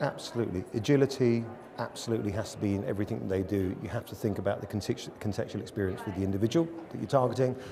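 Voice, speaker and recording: With an English accent, a man talks at a very fast pace in a fairly low pitch with ordinary pitch variation, noticeable background noise behind him. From England. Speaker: media agency executive. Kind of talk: interview. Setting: studio.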